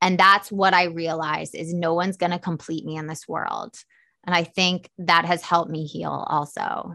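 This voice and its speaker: A woman with vocal fry and a fairly low pitch speaks at a moderate pace in a monotone, flat delivery, her tone bright and sharp, her loudness swinging widely, on a very clean recording with a silent background. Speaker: author and recovery mentor. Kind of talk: interview testimony. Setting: studio.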